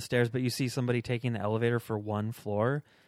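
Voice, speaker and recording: In an American accent, a man with a medium pitch talks at a very fast pace with fairly even intonation, in a dry, close sound with no echo and a quiet background. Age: 30s. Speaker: stand-up comedian and video maker. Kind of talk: casual chat.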